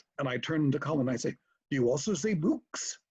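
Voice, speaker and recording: A man speaks with an American accent and a somewhat breathy voice. His intonation is lively. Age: 70s. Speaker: convention founder. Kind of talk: storytelling.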